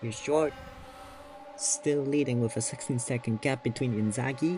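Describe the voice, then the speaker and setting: Noticeable background noise sits behind a man speaking at a fairly high pitch and a moderate pace. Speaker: sim racing commentator. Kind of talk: live commentary. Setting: at home. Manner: kept quiet, soft-spoken; animated.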